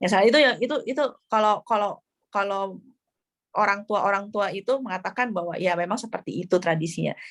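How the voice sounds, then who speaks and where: A woman at a very fast pace, ordinary pitch variation, dry, close sound with no echo. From Jakarta, Indonesia. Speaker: novelist. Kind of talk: book club discussion. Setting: video call. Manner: hesitant with fillers.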